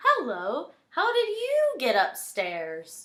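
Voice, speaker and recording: A woman puts on a character voice, high-pitched and delivered at a very slow pace. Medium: read story.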